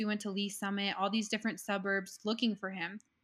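Flat and monotone, a woman with a medium pitch speaks at a fairly quick pace. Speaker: podcast guest sharing personal story. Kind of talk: testimony.

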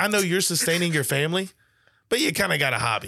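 Bright and sharp in tone, a high-pitched man talks very fast with an American accent. The recording is very clean and the background silent. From northeast Louisiana (Monroe). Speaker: business coach, podcaster. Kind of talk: casual chat. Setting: studio.

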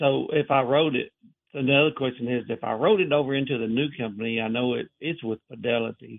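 In an American accent, a man with a plain, everyday voice talks at a fairly quick pace in a medium pitch with ordinary pitch variation. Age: 50s. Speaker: caller. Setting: phone call.

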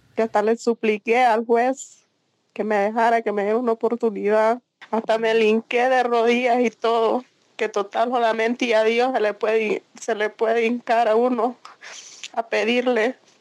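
Fairly slow, flat monotone speech with very even loudness and a dry, close sound with no echo. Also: woman, fairly high pitch for a woman. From Honduras, San Pedro Sula. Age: 20s. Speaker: migrant. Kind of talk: testimony.

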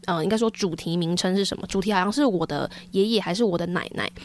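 A woman speaks in an unremarkable speaking voice, medium in pitch, with ordinary pitch variation. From Taiwan, Taichung. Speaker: podcast host. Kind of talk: casual chat.

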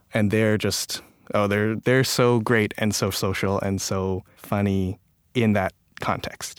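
With a Canadian accent, a man speaks very slowly at a fairly low pitch, his intonation monotone and flat. Loudness stays very even, and the sound is dry and close with no echo. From Canada (Toronto). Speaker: writer and online humorist. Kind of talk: interview.

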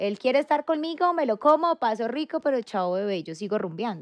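A woman speaks in a quiet background. The sound is dry and close, with no echo. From Colombia, Antioquia and Valle. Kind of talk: casual chat.

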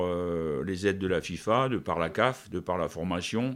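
On a very clean recording with a silent background, a man speaks very slowly in a very deep, low pitch. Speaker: national football team coach. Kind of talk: interview. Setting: at his home. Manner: halting, with many repetitions.

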